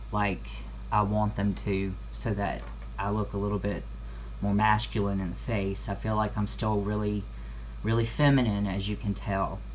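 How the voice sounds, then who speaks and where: There is audible room echo and noticeable background noise around a man's voice. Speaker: video blogger. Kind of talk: casual vlog update. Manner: halting, many fillers.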